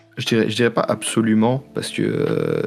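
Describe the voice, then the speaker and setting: This man's pitch sits fairly low. His delivery is monotone and flat. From Paris, France. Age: 20s. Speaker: sports graphic designer. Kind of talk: interview. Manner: halting, many fillers.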